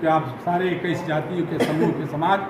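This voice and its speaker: Background noise is noticeable throughout, and the room's echo can be heard as well. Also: man. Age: 70s. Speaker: Dalit community leader and army veteran. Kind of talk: news interview. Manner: animated.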